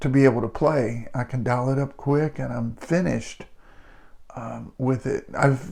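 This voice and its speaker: This man's voice sits at a medium pitch and has a dark, mellow tone. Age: 60s. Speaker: guitarist and channel host. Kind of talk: casual talk to camera. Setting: home studio. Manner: halting, many fillers and repeats.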